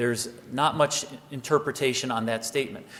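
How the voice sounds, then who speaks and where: Over noticeable background noise, a man talks at a fairly quick pace and medium pitch with ordinary pitch variation. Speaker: government agency official. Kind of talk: conference presentation. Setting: conference hall with audience. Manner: fast.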